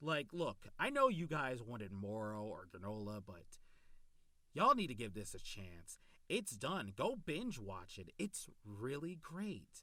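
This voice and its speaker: Very wide pitch swings in an enthusiastic tone at a fairly slow pace, broken by long, frequent pauses. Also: man. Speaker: YouTube anime reviewer. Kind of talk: casual video review. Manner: halting, stumbles over words.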